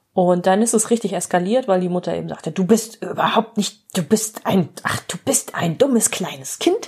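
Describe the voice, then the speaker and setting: A woman talks at a medium pitch and moderate pace with ordinary pitch variation and hardly any pauses, in a normal speaking voice. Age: 40s. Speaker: psychotherapist and podcast host. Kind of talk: solo storytelling monologue.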